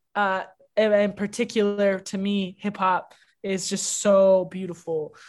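A woman with a Canadian accent, a normal speaking voice, talks at medium pitch and a fairly slow pace against a quiet background. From Canada, Toronto. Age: 20s. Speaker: rapper. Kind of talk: interview.

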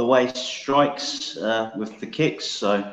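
Recorded with audible room echo, a man with an English Midlands accent speaks at a fairly slow pace. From England, Northamptonshire. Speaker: mixed martial arts fighter. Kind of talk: interview.

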